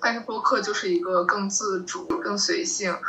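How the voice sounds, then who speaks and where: A woman's medium-pitched voice with lively intonation at a moderate pace, over noticeable background noise. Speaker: nonfiction writer and documentary director. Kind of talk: casual panel discussion.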